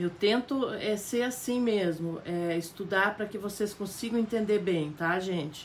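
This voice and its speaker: Against light background noise, a woman speaks at a very slow pace with ordinary pitch variation. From Paraná, southern Brazil. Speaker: fabric painting teacher. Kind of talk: live painting tutorial. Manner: warm, chatty, frequent tá?. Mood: warm, chatty. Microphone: phone near.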